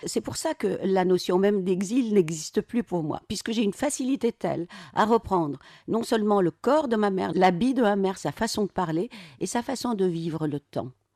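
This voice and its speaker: A woman with a dark, mellow tone speaks at a moderate pace and medium pitch, her voice making very wide pitch swings, in a dry, close sound with no echo against a quiet background. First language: Arabic (speaking French). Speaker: novelist. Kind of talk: radio interview.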